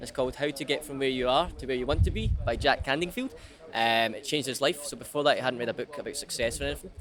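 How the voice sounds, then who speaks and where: Music plays in the background as a man with a Scottish accent talks at a very fast pace. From Scotland, Ayr. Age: 20s. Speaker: street salesman. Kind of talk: street interview.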